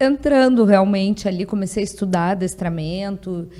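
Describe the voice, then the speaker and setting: A woman with a southern Brazilian accent, a dark, mellow tone, medium pitch and ordinary pitch variation. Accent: gaúcho accent, noticeable. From Rio Grande do Sul, southern Brazil. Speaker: dog trainer. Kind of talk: podcast interview. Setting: podcast studio.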